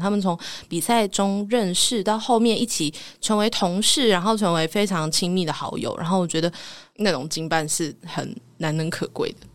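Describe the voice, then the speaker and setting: A woman with a plain, everyday voice at medium pitch, a moderate pace and ordinary pitch variation, on a very clean recording with a silent background. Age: 20s. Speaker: voice actor, podcast guest. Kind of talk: casual interview.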